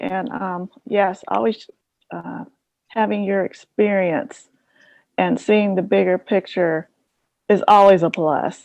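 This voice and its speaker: Soft-spoken and very slow, a woman speaks at a medium pitch. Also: dry, close sound with no echo. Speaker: professional development trainer. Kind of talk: workshop lecture.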